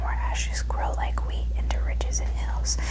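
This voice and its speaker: Someone whispers at a moderate pace with noticeable background noise behind them. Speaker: ASMR creator. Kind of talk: sleep story reading. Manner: whispered.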